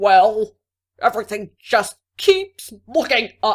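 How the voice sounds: Quiet background behind a natural reading voice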